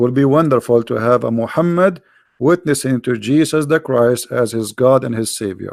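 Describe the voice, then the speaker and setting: Speaking in an Arabic accent, a man keeps a medium pitch with ordinary variation at a moderate pace. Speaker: religious debater. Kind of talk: live debate show. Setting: live online broadcast.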